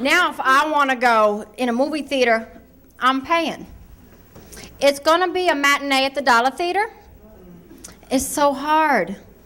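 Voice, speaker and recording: Against noticeable background noise, a woman projects a raised voice at a moderate pace with lively intonation. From Ohio, US. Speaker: stand-up comedian. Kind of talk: stand-up. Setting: stage with audience.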